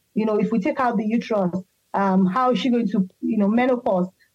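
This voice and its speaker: A woman is talking at a fairly high pitch. Her voice is somewhat breathy. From Nigeria. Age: 40s. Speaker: patient sharing health story. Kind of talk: interview testimony. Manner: halting, many fillers.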